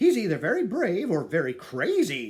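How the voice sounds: Growling in a put-on character voice, a man speaks at a high pitch and a moderate pace.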